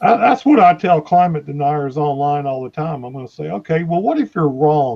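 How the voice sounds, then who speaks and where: A man talks in a plain, everyday voice, fairly high in pitch, with lively intonation and big swings in loudness. He keeps a moderate pace with hardly any pauses. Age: 60s. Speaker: climate activist. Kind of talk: casual chat.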